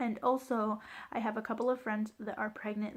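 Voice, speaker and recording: This speaker moves along at a fairly quick pace. There is a somewhat breathy quality to the voice. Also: woman. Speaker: vlogger sharing birth story. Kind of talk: personal storytelling vlog. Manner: casual, filler-heavy.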